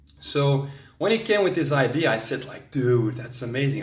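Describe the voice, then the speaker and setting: Fairly high-pitched and at a moderate pace, a man talks with lively intonation and big swings in loudness, with audible room echo. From Belgium, Antwerp. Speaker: travel vlogger. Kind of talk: vlog monologue.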